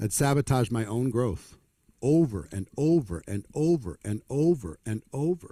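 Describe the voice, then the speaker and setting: With a plain, everyday voice, a man of fairly high pitch speaks with lively intonation in a dry, close sound with no echo. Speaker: network marketing trainer. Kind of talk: motivational seminar talk.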